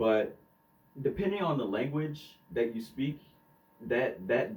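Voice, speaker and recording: With an American accent, a man talks at a fairly slow pace with lively intonation. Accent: Southern US, toned down on the podcast. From US South. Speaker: podcast co-host. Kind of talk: casual chat. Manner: hesitant, many fillers.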